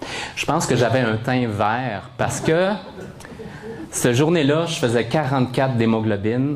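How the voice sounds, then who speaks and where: A man talks at a fairly slow pace. Noticeable background noise and audible room echo surround his voice. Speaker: motivational speaker, blood recipient. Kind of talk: testimony. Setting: stage with audience. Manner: animated.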